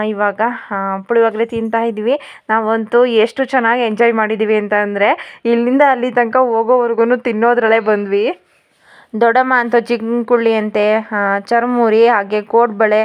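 With a fairly high pitch, a woman speaks in monotone, flat intonation at a very even loudness. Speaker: family vlogger. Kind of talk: travel vlog. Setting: home, later train.

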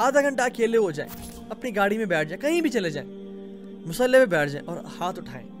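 Clear music plays behind a man's voice. His pitch is high and swings very widely. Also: big swings in loudness. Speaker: Islamic preacher. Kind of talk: religious sermon / reminder. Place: home room. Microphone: studio mic.

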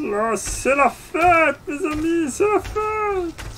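An extremely high, put-on character voice at a very slow pace over clear background noise. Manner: festive, jovial.

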